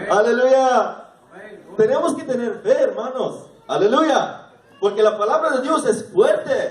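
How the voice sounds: Heard with strong room echo, a man speaks slowly at an extremely high pitch, his intonation lively.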